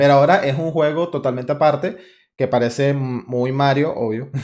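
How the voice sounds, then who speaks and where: A man speaks at a moderate pace with a Venezuelan accent. His pitch is medium, with ordinary variation. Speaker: podcast host. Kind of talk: casual chat. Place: home room. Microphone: studio mic.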